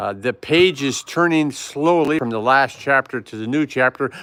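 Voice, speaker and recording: A man's pitch makes very wide swings as he talks at a very slow pace. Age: 60s. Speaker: YouTuber and retiree. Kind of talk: live stream chat. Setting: indoors in apartment. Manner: casual, chatty.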